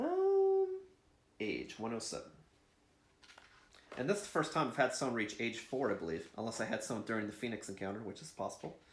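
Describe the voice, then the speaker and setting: A man at a fairly quick pace, with long, frequent pauses and audible room echo. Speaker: board game video creator. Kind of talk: solo board game playthrough commentary.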